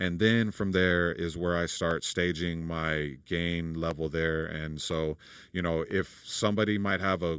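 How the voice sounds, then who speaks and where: A man with a very deep, low pitch speaks at a fairly slow pace with fairly even intonation, on a very clean recording with a silent background. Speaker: audio engineer / tutorial creator. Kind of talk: tutorial. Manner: casual, halting.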